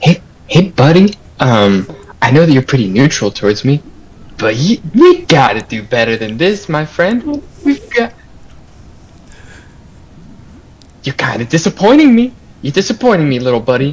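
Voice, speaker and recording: Whispering in a soft-spoken, breathy, put-on character voice, a man speaks at a moderate pace with long, frequent pauses. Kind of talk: coaxing, talking to a pet. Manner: whispering, soft and breathy.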